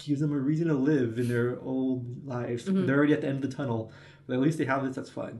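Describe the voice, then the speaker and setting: A man speaks very fast in a fairly high pitch, somewhat breathy, with a dark, mellow tone. Room echo can be heard. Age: 20s. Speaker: podcast co-host. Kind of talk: casual chat.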